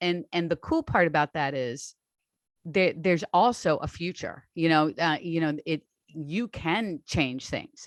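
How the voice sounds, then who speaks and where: A woman with a normal speaking voice, fairly low in pitch and with ordinary pitch variation, talks at a fairly slow pace on a very clean recording with a silent background and a dry, close sound with no echo. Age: 60s. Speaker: online strength coach. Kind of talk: interview conversation.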